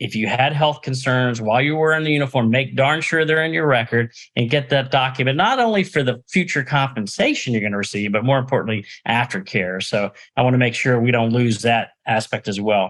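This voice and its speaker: At a fairly quick pace, an ordinary speaking voice shows ordinary pitch variation. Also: man, medium pitch for a man. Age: 60s. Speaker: podcast host, nonprofit executive. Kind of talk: interview.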